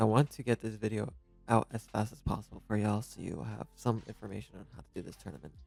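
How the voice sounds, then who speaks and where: Over music in the background, a man talks at a very fast pace in a fairly low pitch, with ordinary pitch variation and big swings in loudness. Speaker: gaming tutorial youtuber. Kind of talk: game tutorial with live commentary. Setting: at home, early morning. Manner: quiet, keeping voice down; casual, conversational.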